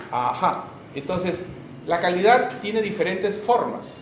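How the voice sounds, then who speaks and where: Noticeable background noise and audible room echo fill the recording. Through it, a man speaks at a high pitch. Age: 60s. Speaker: medical school lecturer. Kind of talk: lecture.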